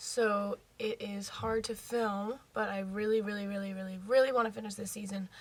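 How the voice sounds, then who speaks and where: A woman with an American accent speaks at a moderate pace and medium pitch, somewhat breathy and with hardly any pauses. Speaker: youtuber reacting to TV. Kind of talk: casual chat. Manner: animated.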